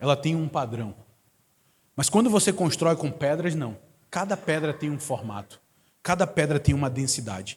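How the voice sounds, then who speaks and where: This man's pitch is fairly high. His intonation is lively. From Manaus, Amazonas, northern Brazil. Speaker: guest preacher. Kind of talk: sermon. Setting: church service.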